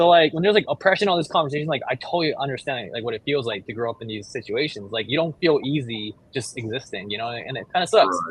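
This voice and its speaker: A man in a Japanese accent, very fast and somewhat breathy, with hardly any pauses and very wide pitch swings. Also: medium pitch for a man. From Japan, then Hawaii. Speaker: clothing designer. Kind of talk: casual interview chat. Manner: casual, filler-heavy.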